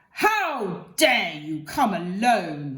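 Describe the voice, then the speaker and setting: A female-sounding voice at a medium pitch performs a put-on character voice. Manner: terrible, furious, commanding.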